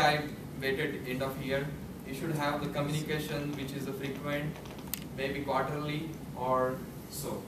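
A man keeps a moderate pace but pauses long and often, with audible room echo and noticeable background noise around him. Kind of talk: prepared speech. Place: meeting room. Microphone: camera far.

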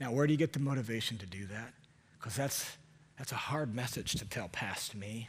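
The man's voice is somewhat breathy, and his pitch varies in an ordinary way. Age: 40s. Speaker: preacher. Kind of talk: sermon. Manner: animated. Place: church. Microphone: headset.

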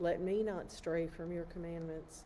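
The woman talks at a fairly slow pace with a fairly low pitch. Light background noise can be heard. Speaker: clergy or lay reader. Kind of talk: liturgical psalm reading. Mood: calm, measured, devotional. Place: church. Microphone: phone near.

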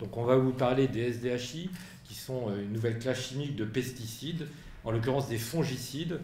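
A man speaking at a moderate pace, with audible room echo and light background noise. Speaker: association president, moderator. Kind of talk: press conference. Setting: press room with audience. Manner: articulate speaker. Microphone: podium.

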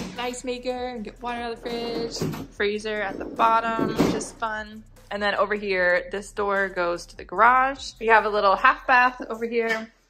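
A woman keeps her intonation fairly even, with faint music in the background. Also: moderate pace. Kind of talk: casual vlog chat. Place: home room. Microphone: phone near.

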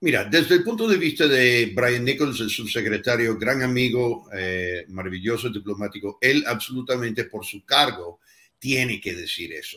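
A man talks with lively intonation and a bright, sharp tone. His loudness swings a lot. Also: medium pitch for a man, moderate pace. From United States. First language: English (speaking Spanish). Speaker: former US ambassador; guest. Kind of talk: panel discussion. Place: home room.

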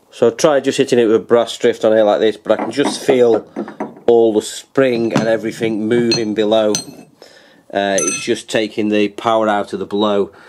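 With noticeable background noise behind him, a man talks in a fairly low pitch with fairly even intonation. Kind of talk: tutorial. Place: garage. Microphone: phone near.

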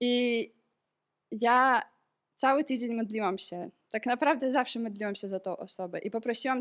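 A woman with an unremarkable speaking voice talks at a moderate pace with a fairly high pitch and ordinary pitch variation. The recording is very clean, with a silent background. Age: 20s. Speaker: medical student sharing a church testimony. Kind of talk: testimony.

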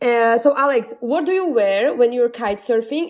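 In a Slovak accent, a woman with a high pitch talks at a moderate pace. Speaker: podcast host. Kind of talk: casual chat. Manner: animated.

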